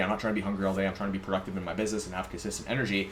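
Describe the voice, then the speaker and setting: A man speaking at a very fast pace over noticeable background noise. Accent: American. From US West Coast, San Diego. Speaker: fitness and nutrition coach. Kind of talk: tutorial.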